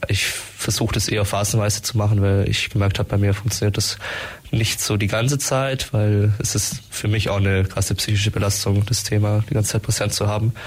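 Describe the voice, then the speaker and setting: Noticeable background noise sits behind a man talking at a fairly quick pace. His fairly low voice is monotone and flat, with very even loudness. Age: 20s. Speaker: student climate activist. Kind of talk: radio interview. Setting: radio studio.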